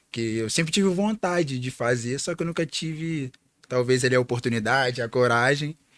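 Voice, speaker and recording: A man of medium pitch with ordinary pitch variation speaks in an ordinary speaking voice. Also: moderate pace. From Rio de Janeiro, Brazil. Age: 20s. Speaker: podcast co-host, air force serviceman. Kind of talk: casual podcast chat.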